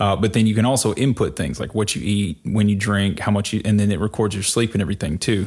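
Speaking at a very fast pace with hardly any pauses, the voice carries a Mississippi accent. The recording is very clean, with a silent background. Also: man, fairly low pitch for a man, ordinary pitch variation. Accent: Southern US (Mississippi). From rural Mississippi, US South. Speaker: podcast co-host, data advocate. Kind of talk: casual chat.

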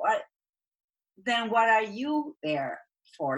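A woman with an Argentine accent speaks with very wide pitch swings. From Argentina. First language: Spanish. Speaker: executive coach and speaking strategist. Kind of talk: interview.

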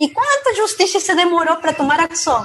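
The speaker has a Peruvian accent. The pace is moderate. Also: woman. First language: Spanish (speaking Portuguese). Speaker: cloud security specialist. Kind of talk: podcast interview.

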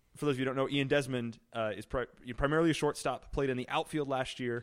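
Here is a man with an American accent and a plain, everyday voice. His pitch is medium and his intonation fairly even. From Illinois, US Midwest. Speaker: sports blogger. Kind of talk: casual chat.

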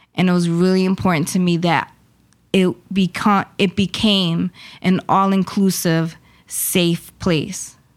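A woman speaks at a fairly slow pace in a monotone, flat delivery, her medium pitch and loudness staying very even, on a very clean recording with a silent background. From Puerto Rico, moved to Worcester as a child. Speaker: poet and arts event founder. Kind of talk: interview.

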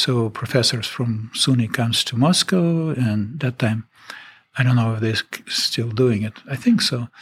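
A man speaks with a Russian accent at a medium pitch. His delivery is fairly slow and somewhat breathy. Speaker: retired permafrost researcher. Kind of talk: interview. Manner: halting, hesitant with fillers.

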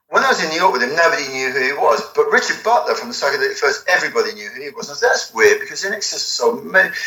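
A man with a southern English accent at a very fast pace, hardly any pauses, and noticeable background noise. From England, near London (Watford). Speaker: album cover artist. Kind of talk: interview. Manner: halting.

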